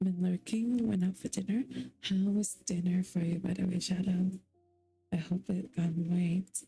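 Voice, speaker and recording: A woman whispering at a fairly slow pace with very even loudness, music in the background. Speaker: streamer. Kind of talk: ASMR live stream chat.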